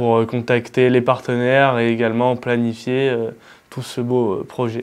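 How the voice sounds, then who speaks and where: Delivery from this man is fairly slow and monotone, with flat intonation. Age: 20s. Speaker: business student, trip partner. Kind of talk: interview. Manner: halting, many fillers.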